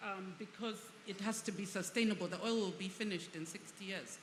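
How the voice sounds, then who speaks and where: In a room with audible echo, a woman at a medium pitch speaks at a fairly quick pace in a monotone, flat intonation with long, frequent pauses. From Uganda. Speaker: energy and infrastructure expert. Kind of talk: panel discussion.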